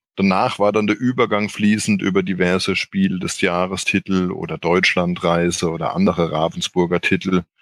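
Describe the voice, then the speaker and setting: A man talks in a normal speaking voice at a moderate pace with ordinary pitch variation. The recording is very clean, dry and close with no echo, and the background is silent. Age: 40s. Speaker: board game editor. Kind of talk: casual chat.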